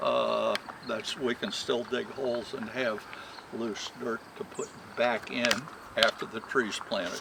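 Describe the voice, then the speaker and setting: Amid noticeable background noise, a man with an American accent speaks at a fairly slow pace. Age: 70s. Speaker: retired Christmas tree farmer. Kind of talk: demonstration. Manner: halting.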